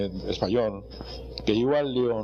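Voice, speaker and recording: Audible room echo surrounds a man's voice. He speaks at a medium pitch and a fairly slow pace. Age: 70s. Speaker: interviewee recalling bullfighting history. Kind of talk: interview. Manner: halting, with many repetitions.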